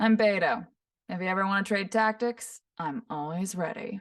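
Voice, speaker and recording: Using a put-on character voice, a woman speaks in a nasal way at a medium pitch and a moderate pace. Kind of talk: enunciated. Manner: confident.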